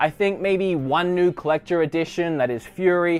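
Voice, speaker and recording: In an Australian accent, a man talks with a high pitch and an animated tone. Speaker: gaming YouTuber. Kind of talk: casual room tour vlog.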